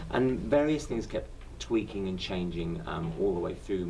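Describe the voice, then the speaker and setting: A man with a London accent, very deep and low in pitch, at a fairly quick pace, with audible room echo. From southern England. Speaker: stage actor. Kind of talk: interview.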